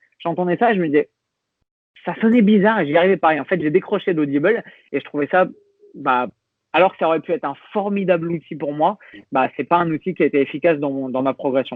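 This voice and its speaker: A man with a high voice talks at a very fast pace, with ordinary pitch variation and long, frequent pauses. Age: 30s. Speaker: fitness coach. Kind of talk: podcast interview. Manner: hesitant with many fillers.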